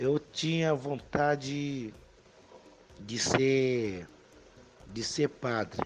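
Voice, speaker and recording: With ordinary pitch variation, a man talks in a fairly high voice. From DR Congo, Kinshasa. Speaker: immigrant. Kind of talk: life story interview. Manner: soft-spoken; halting.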